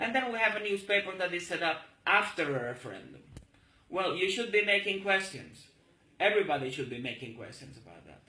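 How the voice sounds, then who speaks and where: A raised, projected voice moves at a fairly quick pace. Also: man, high pitch for a man, lively intonation. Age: 40s. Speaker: political activist. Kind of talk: political monologue video. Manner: halting.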